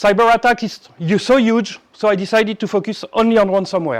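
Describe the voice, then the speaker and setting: Talking in a French accent, a man uses a high pitch and fairly even intonation. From France. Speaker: cybersecurity executive and conference speaker. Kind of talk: conference talk. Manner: halting.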